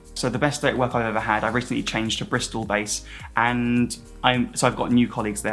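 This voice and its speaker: A man at medium pitch, upbeat in tone, talking at a very fast pace over music in the background. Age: 20s. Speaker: cabin crew. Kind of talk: interview answer.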